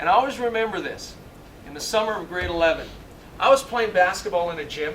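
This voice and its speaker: Animated and fairly quick, a man with a high pitch and lively intonation speaks amid audible room echo and noticeable background noise. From Canada, Ontario (Sudbury). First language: Italian. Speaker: motivational speaker, former basketball player and coach. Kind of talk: motivational speech.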